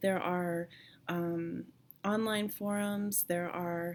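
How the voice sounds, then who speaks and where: A woman speaks with fairly even intonation. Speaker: thyroid cancer patient vlogger. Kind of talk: casual vlog. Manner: hesitant, many fillers.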